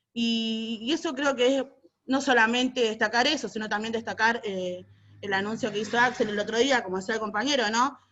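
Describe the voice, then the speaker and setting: A woman speaks at a fairly high pitch. She talks with a Rioplatense accent. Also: fairly even intonation, fairly quick pace. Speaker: social movement activist. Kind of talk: panel debate contribution. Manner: fast.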